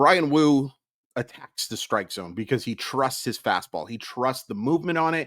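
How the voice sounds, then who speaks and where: Lively intonation and an animated tone mark a man's medium-pitched voice. The recording is very clean, with a silent background. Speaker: baseball podcaster. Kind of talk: game recap commentary.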